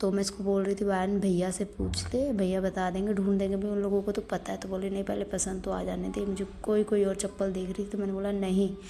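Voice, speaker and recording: Against noticeable background noise, a woman with a medium pitch speaks in an animated tone with hardly any pauses. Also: fairly quick pace. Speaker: vlogger. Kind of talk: casual vlog narration. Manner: chatty, animated.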